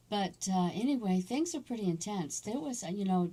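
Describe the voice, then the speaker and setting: Her voice has a dark, mellow tone and is somewhat breathy. The woman's intonation is lively. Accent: American. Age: 60s. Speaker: army veteran. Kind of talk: personal storytelling. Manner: halting, many fillers.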